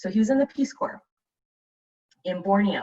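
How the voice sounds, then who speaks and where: Her intonation is lively as the woman talks. Her voice comes across as somewhat breathy. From raised abroad, born in Vietnam. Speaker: speaker. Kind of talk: personal talk.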